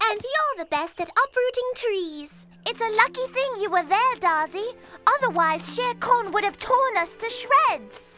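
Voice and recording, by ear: Faint music plays behind a cartoonish character voice that is bright and sharp in tone and fairly slow in pace. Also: lively intonation.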